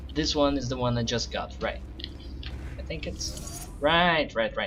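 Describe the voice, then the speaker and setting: A man with a non-native accent at a fairly slow pace, amid noticeable background noise. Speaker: game level designer. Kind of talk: casual gameplay commentary.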